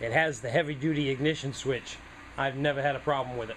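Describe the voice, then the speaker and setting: A man's fairly high, bright, sharp voice in a New England accent, with fairly even intonation. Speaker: small engine repair hobbyist. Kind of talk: tutorial. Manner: casual, conversational.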